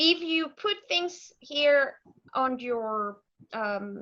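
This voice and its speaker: A woman speaks in a high voice with a bright, sharp tone, ordinary pitch variation and a Mexican accent. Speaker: software consultant and author. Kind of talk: technical demo presentation.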